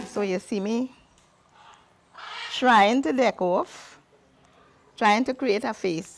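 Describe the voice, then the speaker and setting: Her voice sits at a medium pitch and rises and falls in a lively way. Her delivery is very slow. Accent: Trinidadian. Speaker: carnival performer and author. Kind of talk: interview talk.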